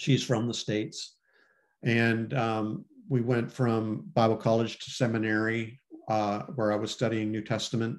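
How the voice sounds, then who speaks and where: Against a quiet background, a man with an ordinary speaking voice talks at a fairly slow pace, medium in pitch and fairly even in intonation. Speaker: former pastor and cartoonist. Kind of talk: interview conversation.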